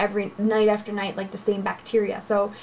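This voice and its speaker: Talking at a fairly quick pace, a woman is heard over light background noise. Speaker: beauty vlogger. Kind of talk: casual vlog chat. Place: home room. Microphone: webcam.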